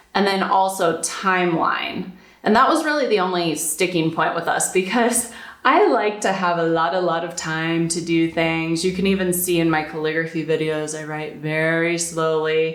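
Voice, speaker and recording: With an American accent, a woman speaks at a moderate pace in a fairly low pitch and fairly even intonation, with noticeable background noise and audible room echo. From United States. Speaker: calligrapher and blogger. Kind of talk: casual talk to camera. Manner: conversational, with repetitions.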